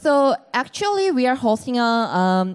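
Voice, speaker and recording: A woman speaks fairly slowly with a Korean accent. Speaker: panel moderator. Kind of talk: panel discussion moderation. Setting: stage with audience at event.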